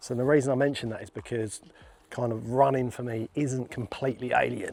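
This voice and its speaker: A man with an English accent speaks at a fairly quick pace and medium pitch. His intonation stays fairly even. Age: 40s. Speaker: plasterer and fitness vlogger. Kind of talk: casual vlog talk. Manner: conversational with fillers.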